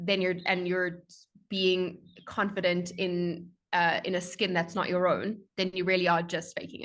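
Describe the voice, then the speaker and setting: Against a quiet background, a woman with a strong South African accent speaks at a moderate pace in a monotone, flat intonation. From South Africa, Johannesburg. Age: 20s. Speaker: strategy consultant. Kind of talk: podcast interview.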